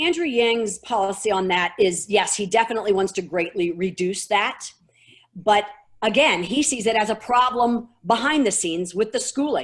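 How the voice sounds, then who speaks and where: A woman with an ordinary speaking voice talks at a moderate pace, fairly high in pitch and with lively intonation. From St. Louis, Missouri. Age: 50s. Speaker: activist. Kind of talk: interview.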